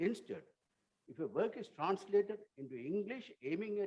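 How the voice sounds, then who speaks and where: A man talks in a Tamil accent, his pitch swinging very widely. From Sri Lanka. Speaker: writer and translator. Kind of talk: conference talk. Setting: auditorium. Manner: formal.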